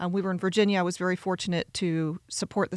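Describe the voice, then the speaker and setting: A woman with medium pitch talks at a very fast pace on a very clean recording, with a silent background and a dry, close sound with no echo. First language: Spanish. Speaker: college president. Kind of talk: casual interview.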